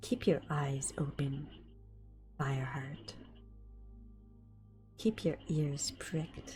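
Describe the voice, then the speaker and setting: A put-on character voice at a low-to-middle pitch growls and hisses in a menacing tone at a very slow pace. Clear music plays in the background. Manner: hissing, menacing, snarling.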